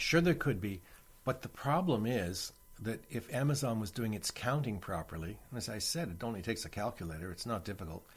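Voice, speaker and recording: At a fairly quick pace, a somewhat breathy voice makes very wide pitch swings in a very clean recording with a silent background. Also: man, medium pitch for a man. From Canada (Toronto). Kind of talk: interview.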